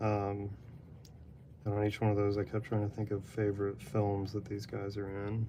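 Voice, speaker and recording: A man's fairly low voice, dark and mellow in tone, monotone and flat in intonation, at a moderate pace. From Texas. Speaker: artist live-streaming drawing. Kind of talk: casual live-stream chat while drawing. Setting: apartment, live stream.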